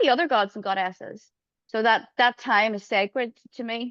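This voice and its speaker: A woman speaks with an Irish accent and ordinary pitch variation, in a dry, close sound with no echo. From Ireland. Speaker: astrologer. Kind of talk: interview answers.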